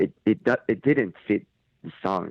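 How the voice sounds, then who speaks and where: A man's voice with a Japanese accent. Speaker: metal band lead singer. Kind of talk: interview. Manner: halting.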